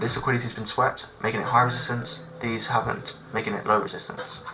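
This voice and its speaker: Over noticeable background noise and audible room echo, a man speaks at a medium pitch. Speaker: trading educator. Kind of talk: tutorial. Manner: casual, loose explanation.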